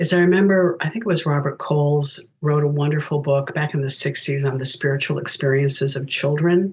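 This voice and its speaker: A woman speaks in a very deep, low pitch with a somewhat breathy quality. Her pace is moderate and her intonation fairly even. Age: 70s. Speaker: spiritual director. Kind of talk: interview.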